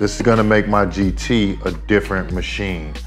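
With faint music in the background, a man talks at a fairly slow pace in a fairly low pitch. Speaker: hobby vlogger. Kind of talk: casual vlog chat. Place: home room.

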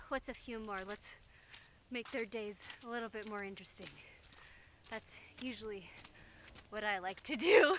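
Against light background noise, a woman talks at a moderate pace with ordinary pitch variation in a dry sound with no echo. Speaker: vlogger. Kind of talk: casual vlog chat. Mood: playful, cheerful. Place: open country. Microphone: phone near.

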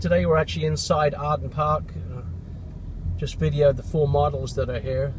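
A man at a moderate pace, dry with no echo, amid noticeable background noise. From England. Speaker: real estate agent. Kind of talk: casual property tour talk while driving. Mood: upbeat promotional. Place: car. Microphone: phone near.

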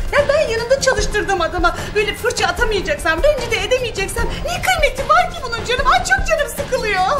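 A woman talks at a fairly quick pace with hardly any pauses. Loud music plays in the background. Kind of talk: comedic acted monologue. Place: home room.

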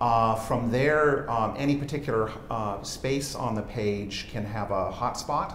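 Room echo is audible, along with light background noise. A man speaks with hardly any pauses. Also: ordinary pitch variation, fairly slow pace. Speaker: software entrepreneur. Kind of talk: product demo interview. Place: studio. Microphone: lapel.

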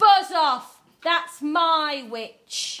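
A woman puts on a shrill character voice at an extremely high pitch. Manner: gruff, commanding.

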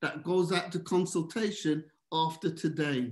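Against a quiet background with audible room echo, a man talks at a moderate pace with ordinary pitch variation. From Birmingham, England. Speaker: governance expert and presenter; presenter. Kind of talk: presentation. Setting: video call. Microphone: webcam.

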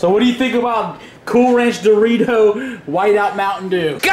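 Loud background noise surrounds a man's voice. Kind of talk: casual vlog chat. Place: kitchen. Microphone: phone near.

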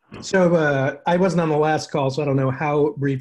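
The man's voice is somewhat breathy. His pitch varies in an ordinary way. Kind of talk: check-in update on a group call. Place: home room. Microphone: video call.

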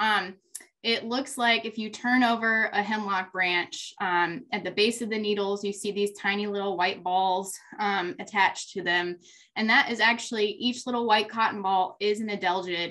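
The tone is bright and sharp, and the pace is moderate. Intonation stays fairly even. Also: woman. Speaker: presenter. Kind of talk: lecture. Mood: friendly, slightly nervous laughs. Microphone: webcam.

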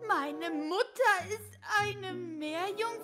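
A woman speaks at a very slow pace with music in the background. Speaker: roleplay narrator voicing daughter character. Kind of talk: roleplay character dialogue. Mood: puzzled, then disbelieving.

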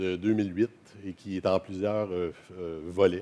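A man's fairly low voice with fairly even intonation. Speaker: professor giving a conference talk. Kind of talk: lecture. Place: hall. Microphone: headset.

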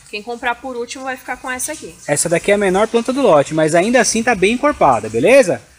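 A high-pitched man at a very fast pace, with lively intonation, big swings in loudness, and hardly any pauses. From Brazil. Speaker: orchid shop seller. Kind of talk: sales pitch, street-seller style promo patter.

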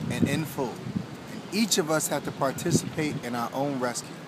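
Noticeable background noise sits under a dry sound with no echo. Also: man. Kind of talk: motivational tip to camera. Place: beach.

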